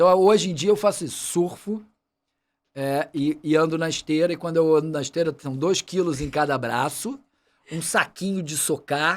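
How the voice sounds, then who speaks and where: A fairly high-pitched male voice with ordinary pitch variation on a very clean recording with a silent background. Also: moderate pace. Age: 60s. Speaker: medical doctor and water safety expert. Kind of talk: podcast interview. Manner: casual, halting with repetitions.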